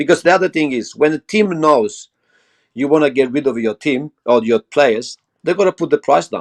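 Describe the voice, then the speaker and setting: In an Italian accent, a man with a fairly high voice is heard in a dry, close sound with no echo against a quiet background. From Italy. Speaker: football fan pundit. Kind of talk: casual debate. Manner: animated; halting.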